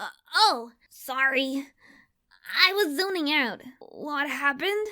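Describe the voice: A female-sounding, put-on character voice pitches high and sounds raspy. It moves at a fairly slow pace.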